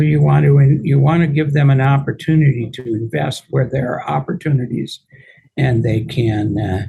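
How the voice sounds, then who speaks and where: Here a man talks at a moderate pace with a medium pitch and ordinary pitch variation. His voice is dark, mellow and somewhat breathy. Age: 70s. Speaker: real estate attorney and investor. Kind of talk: podcast interview.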